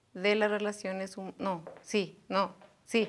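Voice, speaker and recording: A woman speaks at a very slow pace. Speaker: student presenter; presenter. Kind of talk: reading aloud. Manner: halting. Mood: flustered after a slip. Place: studio.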